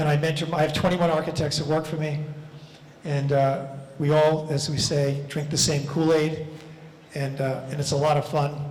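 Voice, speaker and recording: With an American accent, a man talks at a moderate pace in a fairly high pitch and monotone, flat intonation, with audible room echo and noticeable background noise. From US Northeast (Levittown, Long Island, New York). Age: 70s. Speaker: architect. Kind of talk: lecture Q&A. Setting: lecture hall with audience. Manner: conversational, with many fillers.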